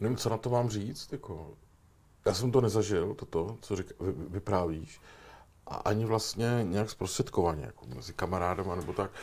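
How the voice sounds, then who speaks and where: Recorded very cleanly against a silent background, a man with an unremarkable speaking voice talks at a moderate pace, his pitch fairly low with ordinary variation. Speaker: talk show host. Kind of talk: interview.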